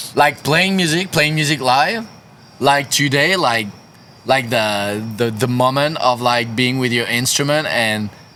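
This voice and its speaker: A man with a French accent speaks at a fairly slow pace in a bright, sharp tone at medium pitch, keeping very even loudness and ordinary pitch variation. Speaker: punk band musician. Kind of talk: casual chat. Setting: studio. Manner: halting.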